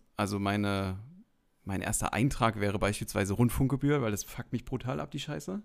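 A man with an unremarkable speaking voice and fairly low pitch talks at a fairly quick pace on a very clean recording with a silent background. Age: 30s. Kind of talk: casual chat.

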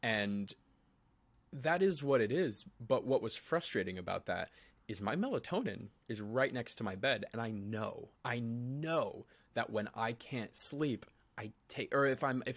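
On a very clean recording with a silent background, a man has an ordinary speaking voice, with medium pitch and ordinary pitch variation. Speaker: podcast co-host. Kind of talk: casual chat about mental health. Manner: laid-back, chill.

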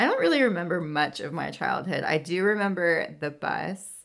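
Speaking at a moderate pace with an American accent, a woman has a normal speaking voice, fairly low in pitch, with ordinary pitch variation. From California. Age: 30s. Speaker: podcast host. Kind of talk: casual chat.

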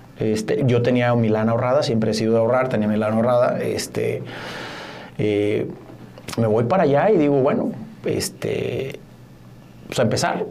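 Speech at a moderate pace with very even loudness comes through with long, frequent pauses, audible room echo, and noticeable background noise. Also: man. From Mexico, Mazatlán. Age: 40s. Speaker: corporate lawyer and businessman. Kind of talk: casual interview.

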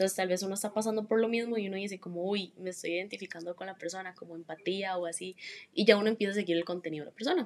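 Talking very fast, a woman keeps a medium pitch and a fairly even intonation. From Costa Rica, Heredia. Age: young. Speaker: interviewee. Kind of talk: interview.

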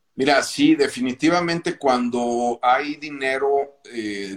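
The pace is very slow. A man is speaking. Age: 50s. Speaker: pastor and clothing business owner. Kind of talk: casual interview.

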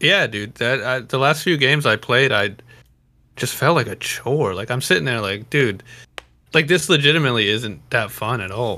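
In a very clean recording with a silent background, a man speaks at medium pitch and a moderate pace, his tone bright and sharp and his intonation lively. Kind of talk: casual chat. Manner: joking, casual, profane.

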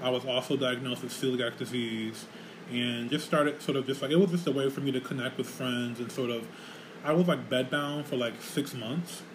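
A man's medium-pitched voice at a fairly quick pace, fairly even in intonation, over noticeable background noise. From Rochester, New York. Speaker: podcast host and community center director. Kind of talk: casual chat. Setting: community center studio.

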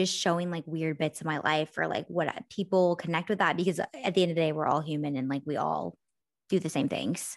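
A woman speaks at a fairly quick pace in a very deep, low voice with vocal fry. The background is quiet. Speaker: podcast co-host, influencer. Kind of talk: casual chat. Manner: animated.

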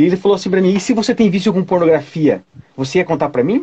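Very fast speech from a man comes in a dark, mellow tone. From Curitiba, Paraná, southern Brazil. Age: 40s. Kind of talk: casual chat.

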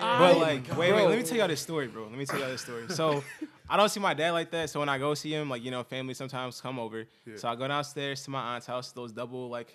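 Against noticeable background noise, a man talks at a very fast pace, his pitch fairly high with ordinary variation. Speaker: podcast guest.

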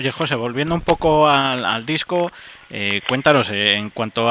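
With noticeable background noise, a man speaks at a fairly slow pace with ordinary pitch variation. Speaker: radio host. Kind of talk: radio interview.

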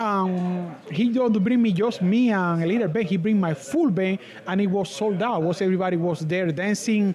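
Noticeable background noise accompanies a man speaking in a high pitch with a Spanish accent. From Cuba, Camagüey. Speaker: musician. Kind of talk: casual interview. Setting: live event in cigar lounge.

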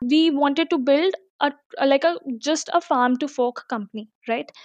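Recorded dry and close with no echo over a quiet background, a woman speaks at a high pitch with ordinary pitch variation. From India, Delhi. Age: 20s. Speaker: startup founder. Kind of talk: interview.

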